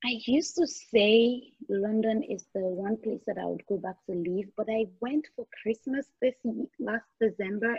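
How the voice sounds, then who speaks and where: A woman talks at a fairly slow pace with a fairly high pitch. Her voice is somewhat breathy. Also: ordinary pitch variation. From Nigeria. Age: 30s. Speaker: makeup artist and beauty brand founder. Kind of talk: casual interview chat.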